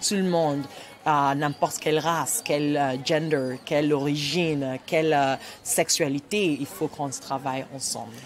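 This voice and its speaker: With music in the background, a woman with a Nigerian accent and a very deep, low pitch talks at a fairly slow pace with fairly even intonation. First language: Igbo (speaking French). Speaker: writer and storyteller. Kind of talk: interview. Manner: halting.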